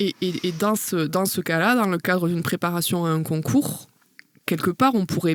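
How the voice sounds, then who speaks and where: In a southern French accent, a woman speaks with lively intonation. Her pitch sits fairly low. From southern France. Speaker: university lecturer and researcher. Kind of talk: podcast interview answer.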